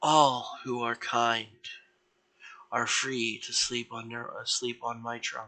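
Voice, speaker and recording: Using a put-on character voice, a man speaks at a medium pitch and a fairly slow pace with long, frequent pauses. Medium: read story. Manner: gentle, motherly, calm.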